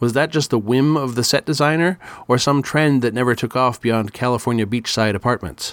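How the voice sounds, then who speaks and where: On a very clean recording with a silent background, a man uses a plain, everyday voice at medium pitch, fairly quick pace, very even loudness and ordinary pitch variation. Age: 50s. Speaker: podcast host. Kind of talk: solo podcast commentary.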